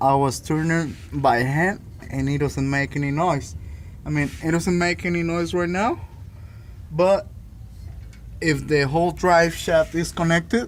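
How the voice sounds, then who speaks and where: A man speaks with a non-native accent at a fairly high pitch. His pace is fairly slow, with long, frequent pauses and ordinary pitch variation. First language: not English. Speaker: DIY car repair video maker. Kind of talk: repair tutorial. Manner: halting.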